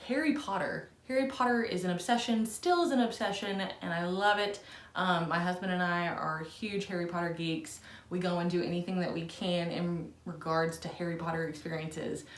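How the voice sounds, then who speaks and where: An American accent with ordinary pitch variation, over noticeable background noise. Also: woman, fairly low pitch for a woman, moderate pace. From Southern Indiana, US. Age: 30s. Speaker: book reviewer. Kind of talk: casual talk to camera.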